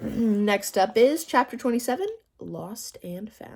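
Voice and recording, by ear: The intonation stays lively. Someone is reading aloud in a natural voice.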